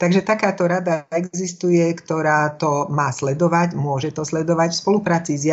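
Intonation is kept fairly even. The speech moves at a fairly slow pace. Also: woman. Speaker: speech coach and former broadcaster. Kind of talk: interview.

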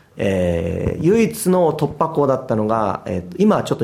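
A man is speaking. His pitch swings very widely. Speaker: football goalkeeper coach. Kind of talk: interview.

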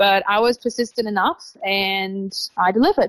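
With an Australian accent, a woman speaks at medium pitch and a moderate pace, keeping her intonation fairly even. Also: dry, close sound with no echo. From Israel, Tel Aviv. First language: Hebrew. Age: 20s. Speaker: traveler. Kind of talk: interview.

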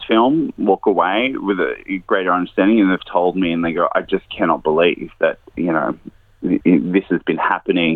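A man with an Australian accent at a moderate pace. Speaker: investigative journalist and filmmaker. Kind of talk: interview. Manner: hesitant, many fillers.

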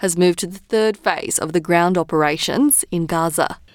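The speaker is a woman with an Australian accent. She talks at a fairly quick clip. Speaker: news presenter. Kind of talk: radio news bulletin reading. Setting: studio. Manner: measured, even-paced newsreader delivery; formal, neutral tone through grave war casualty figures.

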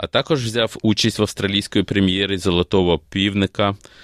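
The pitch moves in an ordinary way across a plain, everyday voice. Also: man. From Ukraine, Kyiv. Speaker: opera singer. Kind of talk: interview. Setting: studio.

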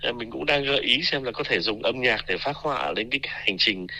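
With lively intonation, a man talks in a bright, sharp tone. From Vietnam. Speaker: university researcher. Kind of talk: radio interview.

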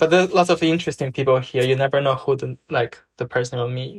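A man with a Chinese accent speaks at a fairly quick pace, his pitch fairly high with ordinary variation. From China. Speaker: acting student. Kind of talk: casual chat.

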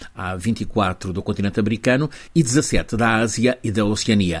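This man speaks at a very slow pace with lively intonation. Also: very clean recording, silent background. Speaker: correspondent. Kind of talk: news report.

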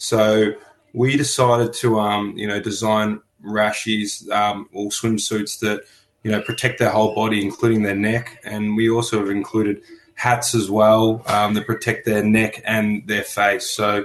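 A man speaks in an Australian accent at a fairly slow pace. His fairly low voice stays monotone and flat. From Melbourne, Australia. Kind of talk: radio interview. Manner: hesitant with many fillers.

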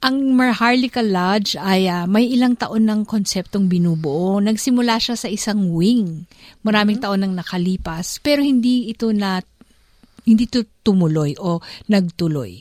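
A woman has an ordinary speaking voice, moderately paced, with ordinary pitch variation. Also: medium pitch for a woman. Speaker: radio host. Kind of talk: interview.

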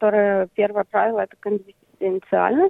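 A woman is speaking. Her pace is moderate. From Ukraine, Crimea. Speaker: art therapy project founder. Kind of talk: interview.

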